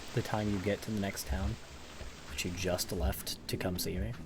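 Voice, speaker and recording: A man speaks with music in the background. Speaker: video game streamer. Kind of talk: casual live stream commentary. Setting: home, parent in the room. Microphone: quiet even with mic at max.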